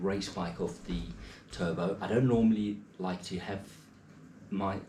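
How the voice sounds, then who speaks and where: Fairly slow speech with an English accent, in audible room echo. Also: man. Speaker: triathlete vlogger. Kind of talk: casual vlog. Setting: at home, early morning. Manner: quiet, talking softly.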